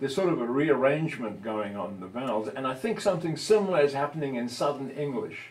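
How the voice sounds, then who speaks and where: There's audible room echo around this man, whose fairly high voice moves with lively intonation. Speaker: linguistics lecturer, audience member. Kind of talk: academic Q&A discussion.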